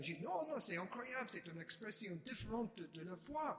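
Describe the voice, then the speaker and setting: Noticeable background noise surrounds a man speaking at a moderate pace. His pitch is high and swings very widely. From Chicago, US. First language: English (speaking French). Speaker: Mennonite Protestant speaker. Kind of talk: testimony. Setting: church.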